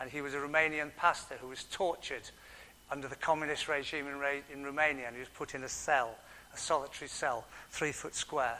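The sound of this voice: A man at medium pitch, bright and sharp in tone, at a fairly quick pace with fairly even intonation.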